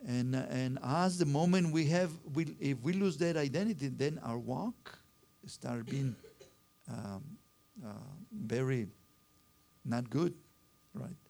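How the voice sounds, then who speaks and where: Speaking with a Spanish accent, a man talks at a very slow pace with long, frequent pauses. His fairly high voice rises and falls in lively intonation. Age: 60s. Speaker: pastor. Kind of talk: sermon. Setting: church.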